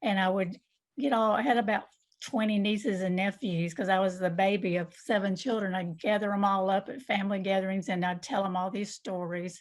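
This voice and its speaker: A woman with a Southern US accent talks fairly quickly at a medium pitch with fairly even intonation. The recording is very clean, with a silent background. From US South, southwest Georgia. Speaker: novelist. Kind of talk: interview.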